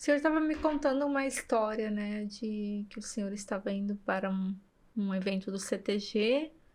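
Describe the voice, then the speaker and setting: A woman has an unremarkable speaking voice at a fairly high pitch with ordinary pitch variation. She talks at a moderate pace. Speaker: podcast host. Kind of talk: interview question.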